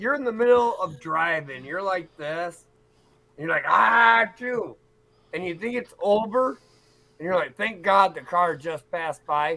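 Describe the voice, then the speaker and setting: Raising and projecting his voice, a man speaks at a fairly slow pace with a high pitch and lively intonation. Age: 40s. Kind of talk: casual chat.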